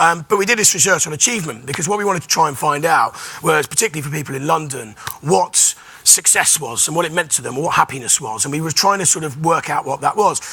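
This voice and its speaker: Over noticeable background noise, a man with a fairly high voice talks very fast with lively intonation. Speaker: panel moderator. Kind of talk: panel discussion introduction.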